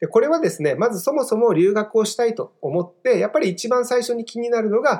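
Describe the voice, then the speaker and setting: A man is speaking here. His pace is fairly quick. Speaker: study-abroad consultant and podcast host. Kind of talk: solo podcast monologue. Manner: polite, filler-heavy.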